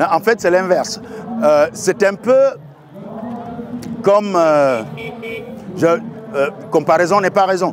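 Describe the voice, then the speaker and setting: A man at high pitch and a fairly slow pace, ordinary pitch variation, noticeable background noise. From Cameroon. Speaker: storyteller. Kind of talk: interview answer.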